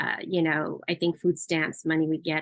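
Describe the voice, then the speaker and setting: In an American accent, a woman speaks at a moderate pace with a very deep, low pitch and a monotone, flat intonation. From Southern California (Los Angeles), Cambodian refugee family. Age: 40s. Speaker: community education advocate. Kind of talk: personal testimony presentation with slides. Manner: halting, many filler words.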